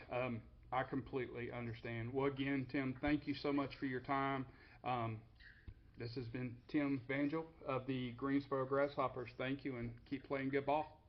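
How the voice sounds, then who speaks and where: In a Southern US accent, the speaker delivers everything in a monotone with flat intonation. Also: man, medium pitch for a man, moderate pace. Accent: Southern twang. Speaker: podcast host. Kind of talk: interview; podcast outro monologue.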